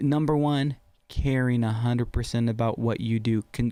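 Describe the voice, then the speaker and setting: A man's dark, mellow voice at a medium pitch and a moderate pace. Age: 40s. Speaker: skydiving instructor. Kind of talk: casual chat. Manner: animated.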